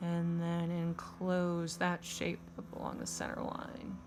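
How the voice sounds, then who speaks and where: A woman speaks at a very slow pace. Audible room echo is present. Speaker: elementary art teacher. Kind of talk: tutorial. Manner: casual, conversational.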